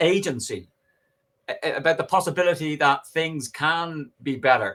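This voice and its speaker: A man with a Dublin accent speaks at a moderate pace with a fairly high pitch, a bright, sharp tone and ordinary pitch variation. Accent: Dublin Irish. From Ireland, Dublin working-class. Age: 60s. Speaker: professor and political activist. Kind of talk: podcast interview. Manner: animated.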